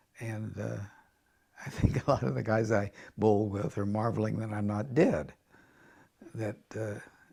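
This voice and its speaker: This man talks at a fairly slow pace with a fairly low pitch. His tone is dark and mellow, and his intonation stays fairly even. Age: 80s+. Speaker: veteran league bowler. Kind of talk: interview. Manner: halting.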